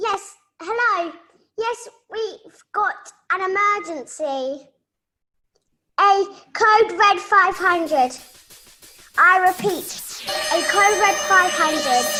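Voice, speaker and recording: A squeaky, put-on character voice at an extremely high pitch goes at a very slow pace with long, frequent pauses. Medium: short film.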